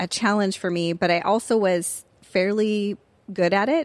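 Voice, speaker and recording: Fairly even intonation from a woman, her pace fairly slow. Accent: Californian. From US West Coast, Orange County, California. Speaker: former university professor and writer. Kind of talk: casual interview about faith testimony.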